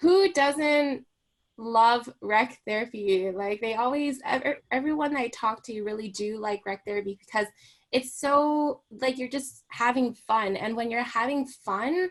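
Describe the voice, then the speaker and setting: Speech comes at a fairly slow rate, and the pitch varies in an ordinary way. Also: woman, high pitch for a woman. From Hong Kong. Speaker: recreation therapist. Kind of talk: radio interview. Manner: casual, many fillers.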